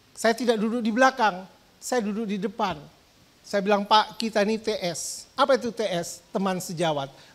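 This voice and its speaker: A strong East Javanese accent at a moderate pace, on a very clean recording with a silent background. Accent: East Javanese, strong (medok). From East Java, Indonesia. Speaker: pastor. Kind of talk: sermon. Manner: animated.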